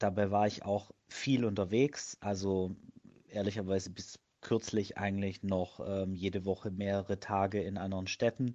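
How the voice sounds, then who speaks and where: A man speaks at a moderate pace with a fairly low pitch and a dark, mellow tone. His intonation is monotone and flat over a quiet background. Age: 30s. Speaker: fitness blogger and project manager. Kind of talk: interview. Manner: hesitant, frequent filler sounds.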